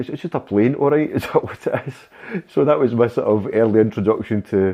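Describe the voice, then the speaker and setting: Spoken with a Glasgow accent, the voice moves at a fairly quick pace with ordinary pitch variation. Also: man, medium pitch for a man. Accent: Glasgow Scottish. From Scotland, Glasgow (West End). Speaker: aviation enthusiast, channel supporter. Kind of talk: casual interview chat. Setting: live stream.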